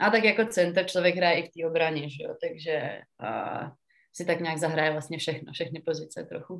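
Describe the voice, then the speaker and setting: Big swings in loudness mark this moderately paced speech, while its pitch varies in an ordinary way. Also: woman. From Czechia, Pardubice. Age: 20s. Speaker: professional ice hockey player. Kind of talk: interview. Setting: remote call.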